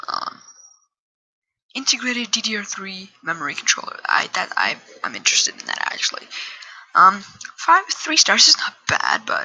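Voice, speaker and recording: Whispering at a moderate pace with long, frequent pauses. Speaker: gaming YouTuber. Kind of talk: tutorial.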